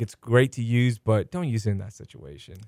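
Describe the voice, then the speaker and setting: A man's plain, everyday voice, medium in pitch, with an American accent and ordinary pitch variation. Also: dry, close sound with no echo. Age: 30s. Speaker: podcast host. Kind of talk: casual interview.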